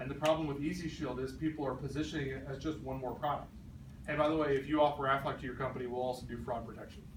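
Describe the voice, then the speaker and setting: Very fast and in a flat monotone, a man talks at a fairly high pitch. Noticeable background noise and audible room echo surround him. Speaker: sales trainer. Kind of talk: training talk.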